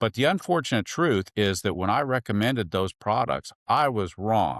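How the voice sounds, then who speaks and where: A man speaks in a normal speaking voice at a moderate pace. His intonation is lively, and the sound is dry and close with no echo. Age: 60s. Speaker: veterinarian. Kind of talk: casual interview.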